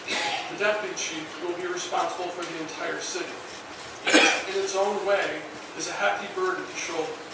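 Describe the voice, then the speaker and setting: Over loud background noise and audible room echo, a man talks at a moderate pace. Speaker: fire chief. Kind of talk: formal ceremonial speech. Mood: formal, proud. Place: hall.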